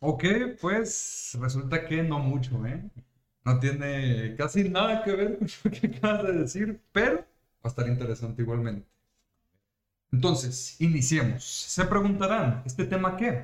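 With a Mexican accent, this somewhat breathy, animated voice moves at a fairly slow pace through very wide pitch swings. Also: man, fairly high pitch for a man. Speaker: podcast host. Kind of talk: casual chat. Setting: live stream.

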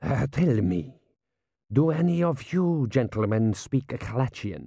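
A man's put-on character voice, medium in pitch and slow, with a dark, mellow tone, a slightly husky edge, vocal fry and big pitch swings, in a very clean recording with a silent background

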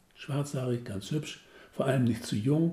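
A man's somewhat breathy voice with a dark, mellow tone, medium pitch and moderate pace. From northern Germany. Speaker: author. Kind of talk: reading aloud.

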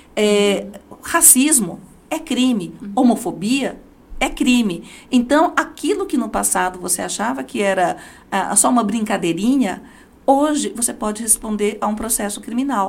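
A woman speaks at a moderate pace and a fairly high pitch, with very wide pitch swings. Vocal fry comes through in her voice. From Brazil, Diadema (São Paulo). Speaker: judge and law professor. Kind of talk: interview.

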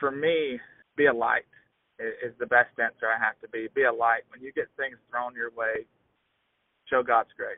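Speaking at a moderate pace with a Southern US accent, a man leaves long, frequent pauses while his loudness swings widely. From US South, southeast Alabama. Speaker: agriculture social media creator and student. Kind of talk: casual interview.

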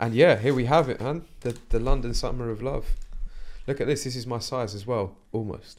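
A normal speaking voice moves at a moderate pace. Its pitch varies in an ordinary way. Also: man, medium pitch for a man. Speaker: podcast host. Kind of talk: casual chat. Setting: studio.

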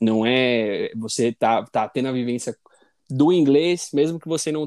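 A dark, mellow tone at a moderate pace, dry and close with no echo. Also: man. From Brazil, São Paulo. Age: 20s. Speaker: podcast co-host. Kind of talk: casual chat.

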